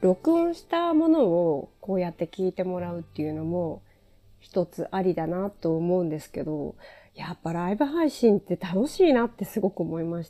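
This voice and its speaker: A woman speaks in a calm, dark, mellow tone with big swings in loudness in a very clean recording with a silent background. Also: ordinary pitch variation, moderate pace. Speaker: podcaster and former TV presenter. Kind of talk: casual solo talk.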